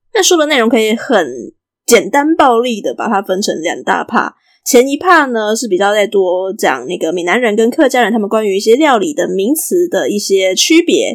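On a very clean recording with a silent background, a woman speaks at a moderate pace in a fairly high pitch, her voice swinging very widely up and down. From Taiwan. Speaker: podcast host. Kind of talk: solo podcast talk about food and books. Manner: casual, chatty.

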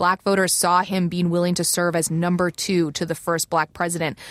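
With an unremarkable speaking voice, a woman speaks at a fairly low pitch and a fairly quick pace in a dry, close sound with no echo. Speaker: political reporter. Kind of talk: political panel discussion.

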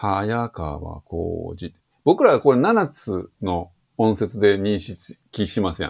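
The man talks at a very slow pace with a fairly low pitch. His intonation is lively, and his loudness swings widely. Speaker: English teacher. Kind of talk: interview.

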